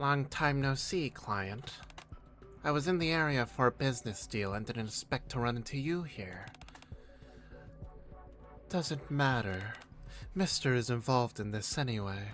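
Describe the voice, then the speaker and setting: A put-on, nasal character voice at a moderate pace, broken by long, frequent pauses, with clear music in the background. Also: man. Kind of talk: professional, businesslike.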